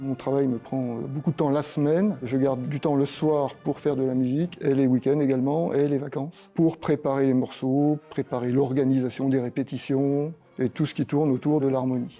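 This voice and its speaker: Music plays behind a man with a fairly high pitch and monotone, flat intonation. His loudness stays very even, with hardly any pauses. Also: moderate pace. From France, Bresse (Ain). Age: 60s. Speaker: amateur band conductor. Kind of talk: interview.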